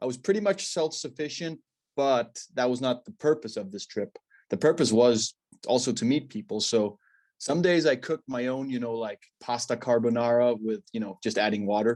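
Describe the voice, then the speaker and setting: Against a quiet background, a man at a medium pitch talks with ordinary pitch variation, the sound dry and close with no echo. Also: moderate pace. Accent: Danish. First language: Danish. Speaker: stand-up paddle athlete. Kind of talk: interview. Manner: hesitant.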